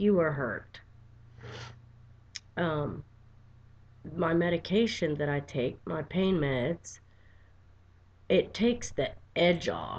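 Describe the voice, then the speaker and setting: A woman at a very slow pace, fairly low in pitch with ordinary pitch variation and long, frequent pauses. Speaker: vlogger with chronic pain. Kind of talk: personal video diary. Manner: quiet, soft-spoken.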